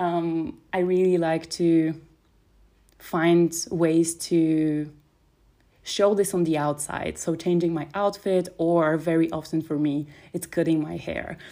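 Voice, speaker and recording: In a very clean recording with a silent background, a woman with a non-native accent speaks very slowly in a fairly low, dark, mellow voice with monotone, flat intonation. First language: not English. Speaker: podcast host and life coach. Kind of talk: solo podcast monologue. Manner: warm, casual.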